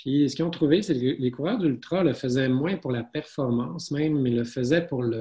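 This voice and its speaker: The voice has a dark, mellow tone, is somewhat breathy, and shows ordinary pitch variation. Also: man. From Quebec, Saguenay. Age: 40s. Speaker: osteopath and running author. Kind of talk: interview.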